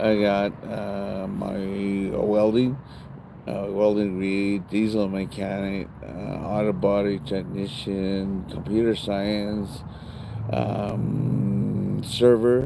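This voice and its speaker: A man's fairly low voice at a very slow pace, ordinary pitch variation, audible room echo and noticeable background noise. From various US places, Texas and Tennessee. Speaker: retired police officer. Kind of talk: interview. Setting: outdoors in a park, live stream. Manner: halting, many fillers.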